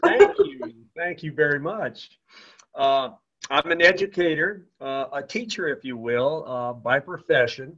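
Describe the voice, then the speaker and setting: A man talks fairly slowly in a plain, everyday voice that is fairly high, with ordinary pitch variation and big swings in loudness. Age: 60s. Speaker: teacher, business associate. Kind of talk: testimony. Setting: phone call.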